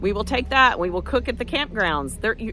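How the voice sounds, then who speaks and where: A woman with an American accent talks at a fairly quick pace. Noticeable background noise can be heard. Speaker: backyard farmer and vlogger. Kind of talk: casual vlog monologue. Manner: fast.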